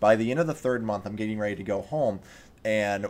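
This man's voice sits at a medium pitch. His tone is animated. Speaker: gaming podcast host. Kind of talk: casual chat. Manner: animated, chatty.

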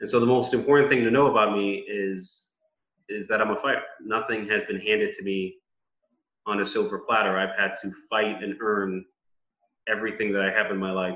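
Fairly low-pitched male speech in a New York accent, with fairly even intonation. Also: fairly quick pace. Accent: New York (Bronx) American English. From US Northeast, the Bronx, New York City. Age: 30s. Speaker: politician. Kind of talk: interview. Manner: articulate, speech-like delivery with some repetitions.

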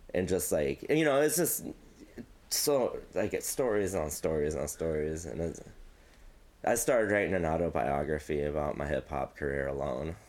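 With a very deep, low pitch, vocal fry and lively intonation, a man speaks at a moderate pace in an American accent. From US Midwest, Quad Cities. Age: 30s. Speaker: music manager. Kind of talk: casual chat.

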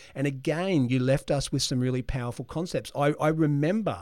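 Speaking with an Australian accent, a man keeps a moderate pace and ordinary pitch variation on a very clean recording with a silent background. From Australia (Brisbane). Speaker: leadership consultant and podcast host. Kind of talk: interview conversation.

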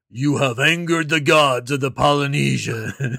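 Using a put-on character voice, a man speaks raspily at a moderate pace. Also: fairly high pitch for a man.

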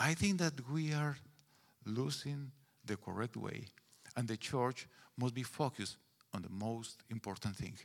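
In a Guatemalan accent, the speaker uses lively intonation at a fairly slow pace, with long, frequent pauses. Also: man, medium pitch for a man. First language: Spanish. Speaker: pastor. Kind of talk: sermon. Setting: church.

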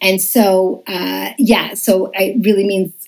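A woman at a medium pitch with ordinary pitch variation and vocal fry. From Montreal, Quebec. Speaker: children's TV entertainer. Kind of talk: interview.

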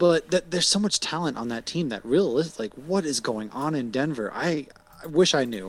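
A man with an unremarkable speaking voice and an American accent, fairly high in pitch, with lively intonation at a fairly quick pace. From Massachusetts. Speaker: podcaster, sports talk guest. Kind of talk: casual sports chat.

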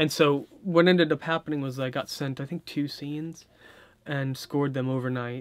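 This man has a Californian accent and a fairly high pitch. He talks at a moderate pace with fairly even intonation. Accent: Californian American English. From US West Coast, Orange County, California. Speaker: film composer. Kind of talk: interview. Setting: studio.

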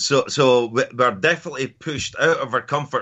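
The speaker has a Scottish accent and keeps a moderate pace. Pitch varies in an ordinary way. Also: man. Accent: Scottish (Edinburgh area). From Scotland, near Edinburgh. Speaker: mindset and performance coach. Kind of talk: interview.

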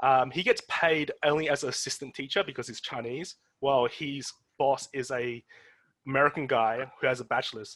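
A man with an Australian accent, medium in pitch, at a moderate pace. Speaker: podcast host. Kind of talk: casual chat. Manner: animated.

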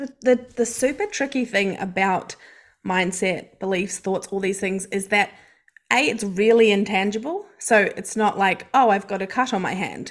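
At a moderate pace, the speaker talks with ordinary pitch variation in a New Zealand accent. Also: woman, medium pitch for a woman. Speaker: mindset coach. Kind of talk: casual interview chat.

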